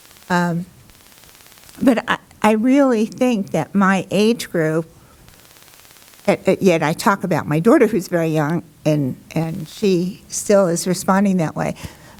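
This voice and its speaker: Against noticeable background noise, a woman of medium pitch talks at a fairly slow pace with ordinary pitch variation and long, frequent pauses. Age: 70s. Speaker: patient panelist. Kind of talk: panel discussion.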